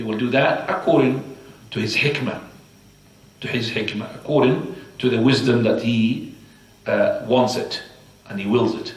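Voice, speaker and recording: A man speaks with an Arabic accent, leaving long, frequent pauses. Noticeable background noise and audible room echo are present. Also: moderate pace. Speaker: Islamic teacher. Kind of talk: religious lecture. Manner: halting.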